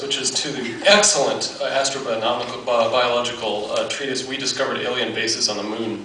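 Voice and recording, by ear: Audible room echo and clear background noise surround a man speaking at a medium pitch and a fairly quick pace, with fairly even intonation.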